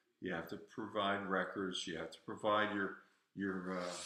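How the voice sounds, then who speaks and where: Audible room echo surrounds a man speaking at a fairly slow pace with an American accent. His tone is bright and sharp, his intonation fairly even. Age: 70s. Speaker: livestream host, veteran. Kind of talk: casual livestream talk. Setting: home garage livestream. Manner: halting. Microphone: echo in the garage.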